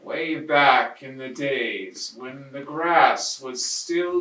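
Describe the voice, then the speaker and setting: In a put-on character voice, a man speaks at a very slow pace with a fairly high pitch and a slight echo. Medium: read story. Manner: hushed, confiding.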